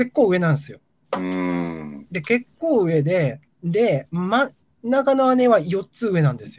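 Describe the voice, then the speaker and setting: Here a man with a high pitch speaks at a fairly slow pace. His pitch swings very widely, and his loudness shifts greatly. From Gifu, Japan (rural). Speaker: guest storyteller on culture podcast. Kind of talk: casual chat. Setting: remote call.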